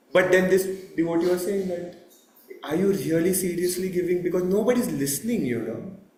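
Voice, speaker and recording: A man with a high pitch speaks at a moderate pace, leaving long, frequent pauses. There is audible room echo. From India. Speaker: temple lecturer. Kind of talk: religious talk. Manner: loud.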